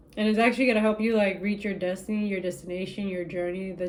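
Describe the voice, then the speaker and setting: Noticeable background noise is present throughout. A woman speaks very fast over it. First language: not English. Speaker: tarot reader. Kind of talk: spiritual reading to camera. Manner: casual, animated.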